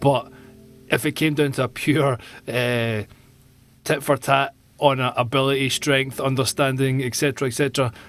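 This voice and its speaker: With music in the background, a man talks at a moderate pace and medium pitch in a monotone, flat intonation, leaving long, frequent pauses. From Glasgow, Scotland. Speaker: drummer. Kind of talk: casual podcast conversation.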